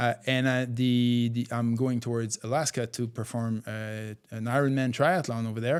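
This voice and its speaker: This man has a French-Canadian accent and a medium pitch, speaking at a moderate pace. His intonation is fairly even, and the recording is very clean with a silent background. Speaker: author and endurance athlete. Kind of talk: interview. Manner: halting, many fillers.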